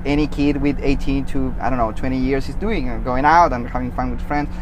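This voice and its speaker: With noticeable background noise, a man talks in a Chilean accent with ordinary pitch variation. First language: Spanish. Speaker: podcast host. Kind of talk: casual interview. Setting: outdoors.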